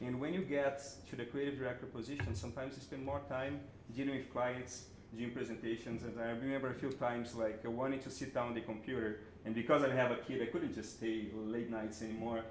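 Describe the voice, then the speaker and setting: A man at a very fast pace in a Brazilian Portuguese accent, medium in pitch with fairly even intonation, amid audible room echo and noticeable background noise. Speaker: creative director and animator. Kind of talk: panel talk before an audience.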